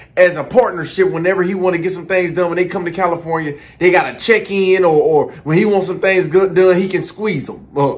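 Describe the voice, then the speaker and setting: Speaking with hardly any pauses, a man with a high voice keeps his intonation fairly even. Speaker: commentary vlogger. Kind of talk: commentary. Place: home room. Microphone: phone near.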